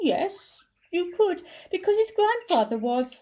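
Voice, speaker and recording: Putting on a character voice, a woman speaks at an extremely high pitch and a fairly slow pace, making very wide pitch swings. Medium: read story. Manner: nervous, eager.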